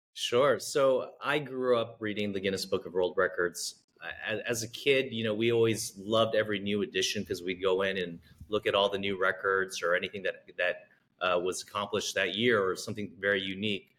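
A plain, everyday voice from a man, fairly low-pitched and fairly quick, its intonation fairly even. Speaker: podcast host. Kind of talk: interview.

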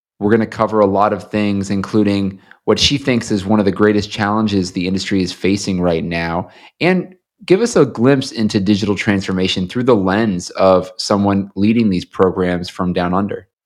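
At a moderate pace, a man with a fairly low pitch and a plain, everyday voice talks with fairly even intonation. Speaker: podcast host. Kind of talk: interview.

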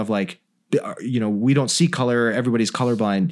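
A man's normal speaking voice, medium in pitch, with ordinary pitch variation and a fairly quick pace. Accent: General American. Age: 40s. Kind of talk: casual interview chat.

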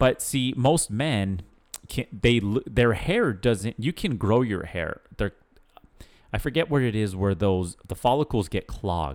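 At a fairly slow pace, a man talks in an ordinary speaking voice. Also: medium pitch for a man, lively intonation, dry, close sound with no echo. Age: 30s. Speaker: podcast co-host. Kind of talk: casual chat.

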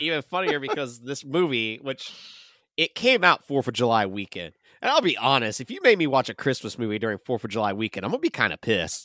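At a very fast pace, a man talks at a medium pitch with lively intonation. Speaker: podcast co-host. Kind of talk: casual chat.

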